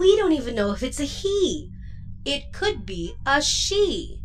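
A female-sounding voice in a put-on character voice speaks at a fairly slow pace with a warm tone over clear background noise. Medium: audio drama. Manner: warm, level-headed.

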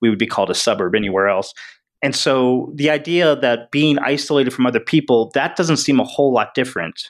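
A man with a normal speaking voice, medium pitch, ordinary pitch variation, very even loudness and a fairly quick pace, on a very clean recording with a silent background. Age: 40s. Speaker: author and improv comedian. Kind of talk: casual chat.

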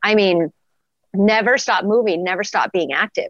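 An unremarkable speaking voice from a woman with an American accent, medium in pitch, with ordinary pitch variation and a moderate pace, in a dry, close sound with no echo against a quiet background. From Wyoming, US. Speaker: athletic trainer. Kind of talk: casual interview.

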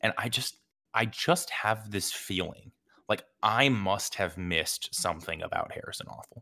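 Bright and sharp in tone, a man speaks at a fairly low pitch. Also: lively intonation, moderate pace. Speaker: soccer podcast host. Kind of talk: casual post-match discussion.

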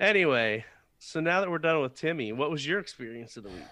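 Vocal fry and a bright, sharp tone mark this voice, which has very wide pitch swings over a quiet background. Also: man. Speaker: podcast co-host. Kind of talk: casual chat.

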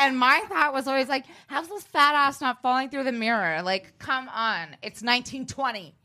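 A woman's raised, projected voice, high-pitched with a bright, sharp tone and lively intonation, at a fairly slow pace with hardly any pauses, on a very clean recording with a silent background. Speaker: podcast co-host guest. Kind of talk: casual chat.

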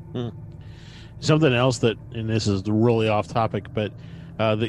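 A man at medium pitch with fairly even intonation, music playing in the background. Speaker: podcast co-host. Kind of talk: casual chat.

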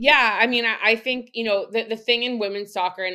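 In a Canadian accent, a woman talks at a fairly quick pace. The background is quiet. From Canada, Vancouver area. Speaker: former professional soccer player. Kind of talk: interview. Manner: halting, many fillers.

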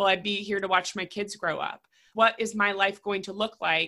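Bright and sharp in tone, a woman speaks at medium pitch with an American accent. Her pace is moderate, and the recording is very clean with a silent background. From Raleigh, North Carolina. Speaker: cancer survivor and attorney. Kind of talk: interview.

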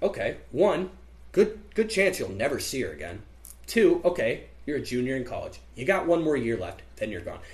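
A Midwestern American accent at a moderate pace, with big swings in loudness. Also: man. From US Midwest (central Illinois). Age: 20s. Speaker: college student. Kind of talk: casual chat.

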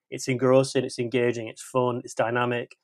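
A man with an unremarkable speaking voice, medium pitch and a fairly quick pace. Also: dry, close sound with no echo. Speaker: film podcast guest. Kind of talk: casual chat.

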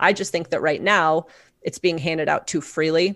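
On a very clean recording with a silent background, a woman with an American accent and a fairly low pitch speaks at a moderate pace in an ordinary speaking voice. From Omaha, Nebraska. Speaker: city council candidate. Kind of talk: interview.

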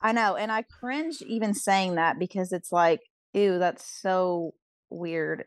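A woman speaks very slowly in a dry, close recording with no echo. Her pitch is medium, with ordinary variation. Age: 20s. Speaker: pastor's daughter. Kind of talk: casual chat.

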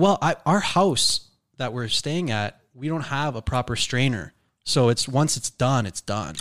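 The speech is fairly slow, with lively intonation, in a Toronto accent. The recording is very clean and dry, close with no echo, with a silent background. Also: man, medium pitch for a man. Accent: Canadian (Toronto). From Canada, Toronto. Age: 20s. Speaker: YouTuber and stand-up comedian. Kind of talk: casual chat. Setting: home garage studio.

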